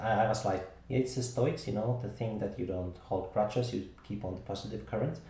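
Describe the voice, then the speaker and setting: Through audible room echo and noticeable background noise, a man with a fairly low pitch and ordinary pitch variation talks at a fairly quick pace with hardly any pauses. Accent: Finnish. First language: Finnish. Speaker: podcast host. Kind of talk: casual chat.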